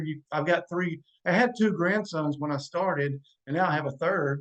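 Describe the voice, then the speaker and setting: The speaker is a man with an ordinary speaking voice and a fairly high pitch. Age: 50s. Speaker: podcast guest. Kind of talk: casual chat.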